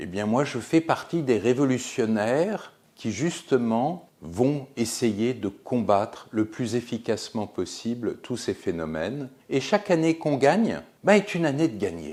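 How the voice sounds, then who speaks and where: On a very clean recording with a silent background, a man of medium pitch talks at a fairly slow pace with very wide pitch swings. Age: 60s. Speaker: physician, geriatrician. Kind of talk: explanatory talk to camera.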